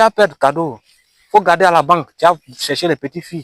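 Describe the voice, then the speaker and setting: A man's fairly high voice at a moderate pace, with ordinary pitch variation and a dry, close sound free of echo. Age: 20s. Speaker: farmer. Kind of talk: comedic vlog monologue. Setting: outdoors. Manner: animated.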